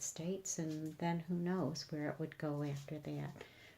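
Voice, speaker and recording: A woman's fairly low, dark, mellow voice, fairly slow and with fairly even intonation. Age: 60s. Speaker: vlogger. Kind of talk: personal video diary. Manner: halting, many fillers.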